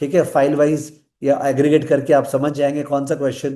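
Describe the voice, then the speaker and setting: Recorded with audible room echo, a man talks in a fairly high pitch with a dark, mellow tone. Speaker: finance teacher. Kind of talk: lecture. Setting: live online class.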